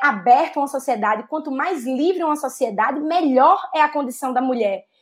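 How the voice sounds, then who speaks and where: Her pitch swinging very widely, a woman with a northeastern Brazilian accent speaks at a moderate pace. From Natal, Rio Grande do Norte, Brazil. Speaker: policy director and doctoral student. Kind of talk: online panel discussion.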